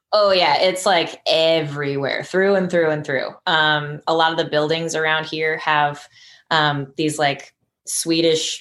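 A woman's fairly low voice, fairly slow and fairly even in intonation, on a very clean recording with a silent background. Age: 30s. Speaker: ski area manager and park builder. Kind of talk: casual chat.

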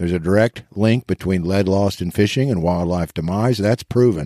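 The tone is dark and mellow, with ordinary pitch variation and an American accent at a moderate pace, hardly pausing. The sound is dry and close with no echo, on a very clean recording with a silent background. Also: man. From Eastern Kansas. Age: 50s. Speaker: lead-free fishing advocate. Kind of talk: interview.

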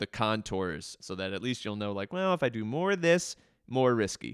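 In a very clean recording with a silent background and a dry, close sound with no echo, a man with an unremarkable speaking voice talks at a fairly quick pace with fairly low pitch. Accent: American. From Baltimore County, Maryland. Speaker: arts nonprofit director and musician. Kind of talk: interview conversation.

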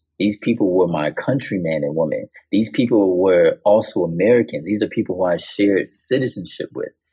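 An ordinary speaking voice moves at a fairly quick pace with ordinary pitch variation. There are hardly any pauses. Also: man, fairly low pitch for a man. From Chicago South Side, US. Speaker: artist. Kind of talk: casual chat.

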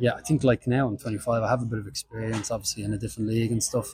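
Against noticeable background noise, a man with an Irish accent speaks at a medium pitch in a flat monotone. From Ireland. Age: 20s. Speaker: professional footballer. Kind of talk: interview.

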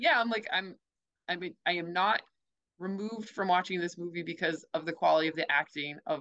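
Moving at a fairly quick pace, a woman speaks in a fairly low pitch with a bright, sharp tone. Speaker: podcast panelist. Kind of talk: casual film discussion.

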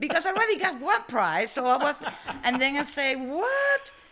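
Noticeable background noise surrounds a woman with an Italian accent. Her high voice swings very widely in pitch. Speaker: food entrepreneur. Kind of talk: interview. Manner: halting.

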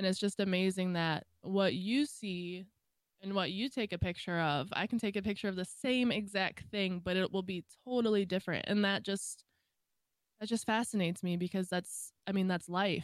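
A woman with an American accent has an ordinary speaking voice at a medium pitch. She talks at a moderate pace with ordinary pitch variation. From Michigan. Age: 20s. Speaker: streamer, photographer and factory worker. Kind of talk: casual chat.

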